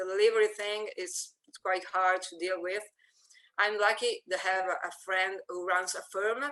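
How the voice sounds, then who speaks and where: A woman speaks at medium pitch and a moderate pace in a bright, sharp tone. Her intonation is monotone and flat, while her loudness swings widely. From Italy. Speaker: volunteer card maker. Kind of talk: interview. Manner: halting, many fillers and repeats.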